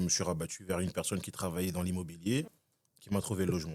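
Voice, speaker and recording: A man with a very deep, low pitch talks at a fairly quick pace, his intonation fairly even. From Congo, moved to France at about 16. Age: 20s. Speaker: podcast guest, tenant. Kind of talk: casual interview chat.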